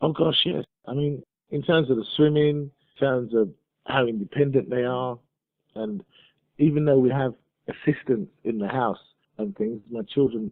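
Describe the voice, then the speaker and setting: A man of medium pitch speaks at a moderate pace with a British accent, using ordinary pitch variation. His loudness swings widely, and he takes long, frequent pauses. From Nigeria. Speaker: migrant business owner. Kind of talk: interview.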